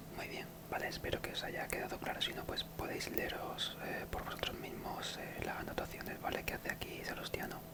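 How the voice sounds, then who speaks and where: Someone is whispering at a fairly quick pace. Noticeable background noise runs underneath. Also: hardly any pauses. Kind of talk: casual talk to camera. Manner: whispered.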